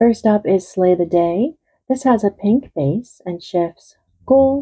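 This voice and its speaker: A woman's very slow speech, medium in pitch, with a dark, mellow tone. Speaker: beauty vlogger. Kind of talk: product review.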